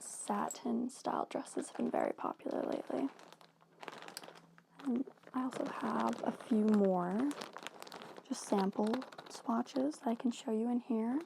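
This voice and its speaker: Soft-spoken, the speaker leaves long, frequent pauses over noticeable background noise. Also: fairly slow pace. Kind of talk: ASMR role-play as a tailor showing fabric swatches to a customer. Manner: soft-spoken, friendly.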